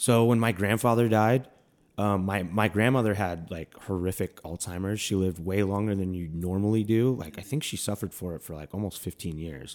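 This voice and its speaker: With a plain, everyday voice, a man in an American accent talks at a fairly quick pace, his fairly low pitch showing ordinary pitch variation. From US Midwest (Milwaukee). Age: 30s. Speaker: comedian. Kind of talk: casual chat.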